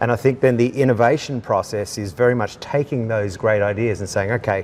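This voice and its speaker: Speaking with an Australian accent, this man keeps a fairly quick pace. His pitch is medium, with ordinary pitch variation. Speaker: leadership coach. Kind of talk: interview. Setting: indoors in a large building.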